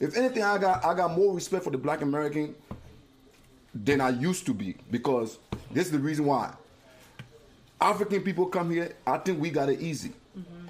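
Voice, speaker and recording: The pace is fairly quick and the intonation lively. Long pauses come often. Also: man. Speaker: uncle of the host.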